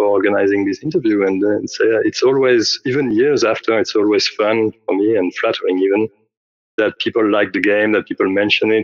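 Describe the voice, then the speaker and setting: A man with a French accent, fairly low in pitch, at a fairly quick pace. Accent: French accent, noticeable. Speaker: game developer. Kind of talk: interview. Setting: audio call. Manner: halting, many fillers.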